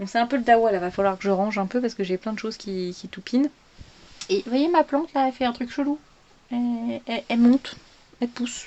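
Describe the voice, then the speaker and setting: This woman speaks at a fairly quick pace in a high voice with ordinary pitch variation, leaving long, frequent pauses. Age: 30s. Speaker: vlogger. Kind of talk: casual chat. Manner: halting.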